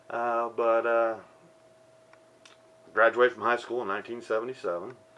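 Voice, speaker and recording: Over noticeable background noise, a man speaks with an American accent. His pitch is medium and his pace fairly quick. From Ohio, US Midwest (Dayton). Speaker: ex-prisoner sharing life story. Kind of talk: motivational testimony monologue.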